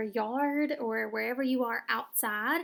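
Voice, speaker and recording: A high-pitched woman with a Southern US accent on a very clean recording with a silent background. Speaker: teacher. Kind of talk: tutorial. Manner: casual, with frequent fillers.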